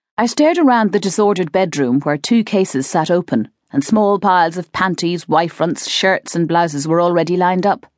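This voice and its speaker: Against a quiet background, a woman with a normal speaking voice and fairly low pitch talks at a fairly quick pace with lively intonation and hardly any pauses. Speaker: audiobook narrator. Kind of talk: dramatic audiobook narration, first-person fiction reading with character voices.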